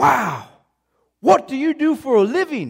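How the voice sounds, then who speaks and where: A high-pitched, put-on character voice moves at a fairly slow pace. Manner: enthusiastic.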